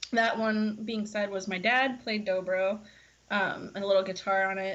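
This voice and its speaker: With a slight country accent, a woman speaks at a moderate pace in a medium-pitched voice with monotone, flat intonation. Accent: slight country twang. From US South, Florida. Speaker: singer-songwriter. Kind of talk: casual interview chat.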